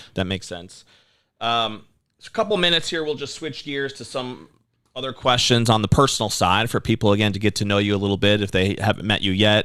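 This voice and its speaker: Very fast pace from a man with an American accent, on a very clean recording with a silent background. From Connecticut, US. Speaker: podcast host. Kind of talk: interview. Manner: casual.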